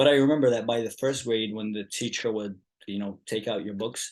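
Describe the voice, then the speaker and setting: At a fairly quick pace, a man speaks with a medium pitch and fairly even intonation. The background is quiet. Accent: Arabic. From Yemen. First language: Arabic. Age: 20s. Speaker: activist. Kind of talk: casual chat.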